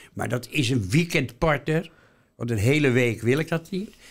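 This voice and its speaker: A man speaks at a fairly slow pace. His voice has vocal fry. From Netherlands, Rotterdam. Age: 80s+. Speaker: retired museum worker. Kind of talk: interview. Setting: studio.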